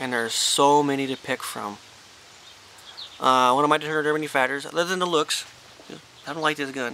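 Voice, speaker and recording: Over noticeable background noise, a man mumbles at a fairly quick pace with ordinary pitch variation. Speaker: hunter. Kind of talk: gun review talk to camera. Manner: mumbling.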